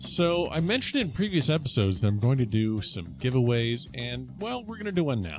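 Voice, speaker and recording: With music in the background, the voice moves at a moderate pace. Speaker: podcast host. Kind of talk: podcast host intro.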